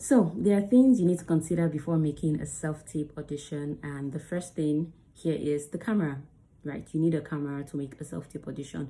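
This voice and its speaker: This woman has a very deep, low pitch and a dark, mellow tone. Her voice is somewhat breathy. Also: ordinary pitch variation, fairly quick pace. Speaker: actor and video creator. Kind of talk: tutorial. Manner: fast.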